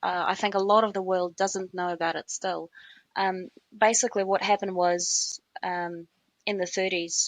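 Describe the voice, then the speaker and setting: In a Russian accent, a woman speaks at a medium pitch with monotone, flat intonation in a dry, close sound with no echo. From eastern Ukraine. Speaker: lawyer. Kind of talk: interview.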